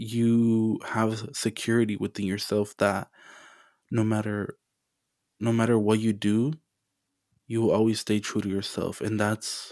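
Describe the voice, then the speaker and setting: Over a silent background on a very clean recording, a man with a fairly low pitch speaks in a flat monotone at a fairly slow pace, with long, frequent pauses. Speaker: podcast host. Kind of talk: motivational monologue. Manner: loud.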